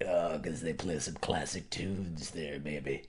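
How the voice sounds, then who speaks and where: Over light background noise, a man puts on a raspy character voice at a very deep, low pitch and moderate pace. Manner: smarmy, cocky.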